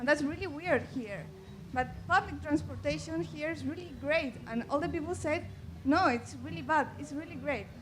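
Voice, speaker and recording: The speaker has a Chilean accent. Audible room echo is present. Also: woman. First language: Spanish. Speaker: audience member. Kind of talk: audience question. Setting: festival stage with audience, handheld mic. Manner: hesitant.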